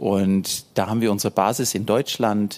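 A man talks in a normal speaking voice, pitched fairly low. He goes at a fairly slow pace with fairly even intonation. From Germany, Hesse. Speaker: missionary. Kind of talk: church interview.

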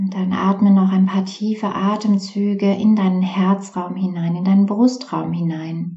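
A woman at medium pitch talks in a calm tone with monotone, flat intonation and hardly any pauses, against noticeable background noise. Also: fairly slow pace. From Germany, Essen (Ruhr area). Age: 40s. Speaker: women's archetype coach. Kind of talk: interview; guided meditation. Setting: studio. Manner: slow, calm.

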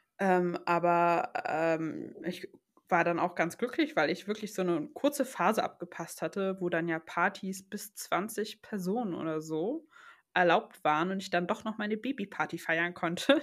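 An ordinary speaking voice at a fairly slow pace, lively in intonation, on a very clean recording with a silent background. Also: woman, medium pitch for a woman. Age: 20s. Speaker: new mother. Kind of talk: casual chat.

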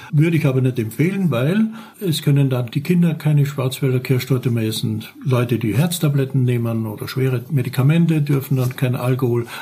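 A man talks at medium pitch with ordinary pitch variation. There is noticeable background noise. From Austria, Carinthia (Lavanttal). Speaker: pastry chef. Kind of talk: tutorial.

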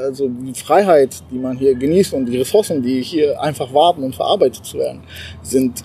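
Noticeable background noise sits behind a man speaking with a non-native accent. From abroad, moved to Germany at twelve. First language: not German (speaking German). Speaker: entrepreneur. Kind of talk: casual interview. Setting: rehearsal room, then outdoors. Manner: animated.

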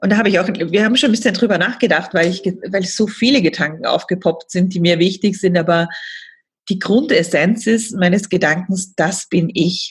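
At a moderate pace, a somewhat breathy voice carries ordinary pitch variation. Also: woman. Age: 40s. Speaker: coach for women. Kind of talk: podcast interview.

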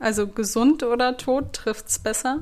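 A woman's fairly high, monotone, flat voice at a very slow pace. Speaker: podcast host, former actress. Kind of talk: solo podcast monologue. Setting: home recording with a recorder.

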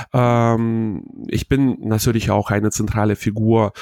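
A man's dry, close recording with no echo, an ordinary speaking voice, and fairly even intonation. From Hannover, northern Germany. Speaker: wedding emcee, former radio presenter. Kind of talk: interview.

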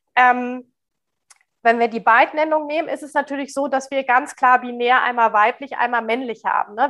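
With fairly even intonation and a high pitch, a woman talks at a moderate pace. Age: 40s. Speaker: diversity consultant and speaker. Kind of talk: interview.

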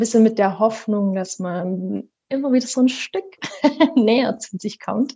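Her voice is dark and mellow, somewhat breathy and fairly high, as this woman speaks at a fairly slow pace with fairly even intonation. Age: 30s. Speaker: sleep consultant and mother. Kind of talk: interview.

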